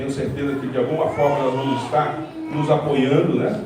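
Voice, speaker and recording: This man talks at a fairly quick pace. Room echo and noticeable background noise are both audible. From Brazil, Minas Gerais. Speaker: pastor, president of a regional Baptist association. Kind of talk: short church address. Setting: church service with congregation.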